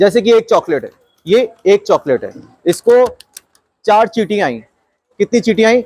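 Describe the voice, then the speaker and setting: A man's high voice shows ordinary pitch variation. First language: not Hindi (speaking Hindi). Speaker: maths teacher. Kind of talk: classroom lesson. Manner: repetitive questioning, engaging.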